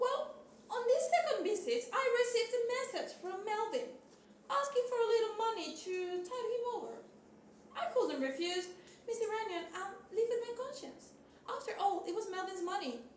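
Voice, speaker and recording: A woman uses a put-on character voice, squeaky and extremely high-pitched, with lively intonation. She goes at a moderate pace, and there is a slight echo. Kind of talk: 1940s radio acting. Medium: stage play. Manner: fussy, talkative, domineering.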